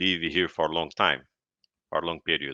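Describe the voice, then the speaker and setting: A man speaks with a Brazilian accent. His pace is fairly slow. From Brazil, Paraná state. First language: Portuguese. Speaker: podcast guest. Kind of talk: interview.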